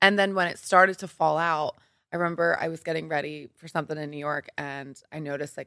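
A woman with an American accent, very deep, low pitch, bright, sharp tone and fairly even intonation, in a very clean recording with a silent background and a dry, close sound with no echo. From Philadelphia, US East Coast. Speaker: model and entrepreneur. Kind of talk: casual interview chat. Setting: studio.

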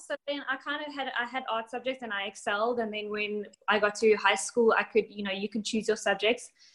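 A woman with a South African accent speaks at a moderate pace, her fairly high pitch moving with ordinary variation. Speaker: bikini competitor and coach. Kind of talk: casual interview.

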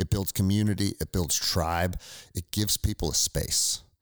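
A man with an American accent and a very deep, low pitch, fairly even intonation at a moderate pace, dry and close with no echo on a very clean recording with a silent background. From US. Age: 40s. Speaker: military veteran and former police officer. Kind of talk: casual interview conversation. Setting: in person at his house.

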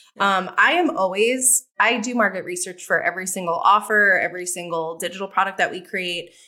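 Speaking in an American accent, a woman has a bright, sharp tone at a medium pitch. Her pace is fairly quick. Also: ordinary pitch variation, hardly any pauses. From New York City. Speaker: digital course creation agency founder. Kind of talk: podcast interview.

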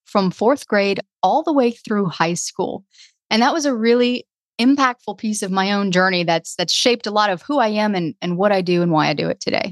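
A woman's medium-pitched voice with a Southern US accent, at a fairly quick pace with lively intonation and a dry, close sound with no echo. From Louisiana, near New Orleans. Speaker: podcast consultant. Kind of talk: casual interview.

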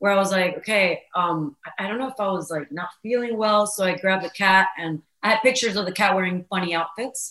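Moving at a fairly quick pace, a woman with a plain, everyday voice speaks in a medium pitch with ordinary pitch variation. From Venezuela, then Florida from age eight. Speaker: social media comedian and voice creator. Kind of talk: casual interview chat.

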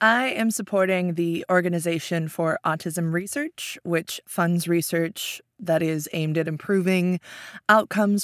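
A woman's fairly low voice, an ordinary speaking voice, at a moderate pace with fairly even intonation, in a very clean, dry, close recording with a silent background and no echo. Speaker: writer and actor guest. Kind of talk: casual game show banter.

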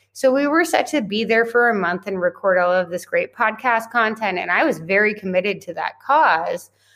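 In a very clean recording with a silent background, a woman with a plain, everyday voice speaks at a fairly high pitch and moderate pace, with lively intonation and hardly any pauses. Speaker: entrepreneur and podcast guest. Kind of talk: interview conversation.

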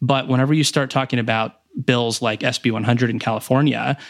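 A fairly quick, monotone voice with flat intonation and an American accent. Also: man. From rural Texas, near Waco. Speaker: geothermal company founder and former drilling engineer. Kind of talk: interview. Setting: remote recording from home, noise-blocking pillows. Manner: halting with frequent repetitions.

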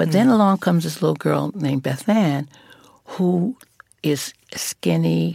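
Someone with a New York accent speaks at a moderate pace, with a dry, close sound and no echo. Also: woman. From New York (Brooklyn). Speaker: former model and fashion advocate. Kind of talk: interview.

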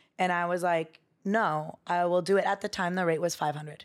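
An unremarkable speaking voice at a moderate pace, with ordinary pitch variation and a very clean recording over a silent background. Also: woman. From US West Coast, Bay Area. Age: 30s. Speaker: dancer and choreographer. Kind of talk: casual chat.

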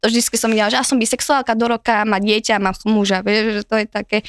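Delivered at a fairly quick pace with fairly even intonation, an ordinary speaking voice comes through with a dry, close sound and no echo. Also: woman, very clean recording, silent background. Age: 20s. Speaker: guest sharing dating stories. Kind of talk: casual chat.

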